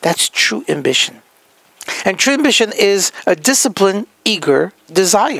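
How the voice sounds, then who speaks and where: At a moderate pace, a man's high-pitched voice swings very widely in pitch, recorded with a dry, close sound and no echo. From France. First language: French. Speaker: healthcare practice consultant. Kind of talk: motivational talk.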